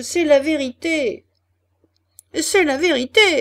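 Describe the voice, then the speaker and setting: Using a put-on character voice, a woman speaks at a very slow pace in a raised, projected voice with extremely high pitch. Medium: read story. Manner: whining, echoing.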